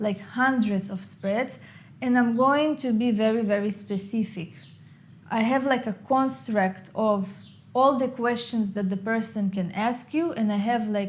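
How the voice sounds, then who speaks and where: Somewhat breathy, fairly slow speech with an Israeli accent and ordinary pitch variation. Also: woman, fairly high pitch for a woman. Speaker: tarot reader and YouTuber. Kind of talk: Q&A video monologue.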